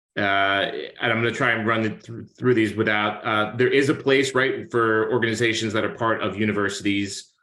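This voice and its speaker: In a room with audible echo, a man with a bright, sharp tone and medium pitch talks at a fairly quick pace with monotone, flat intonation. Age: 40s. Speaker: arts organization president, webinar host. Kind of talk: webinar Q&A moderation. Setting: video call.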